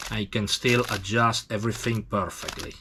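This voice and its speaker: In an Italian accent, a man of medium pitch talks at a fairly slow pace in a monotone, flat intonation. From Italy. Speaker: tattoo machine maker. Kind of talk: tutorial. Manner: halting.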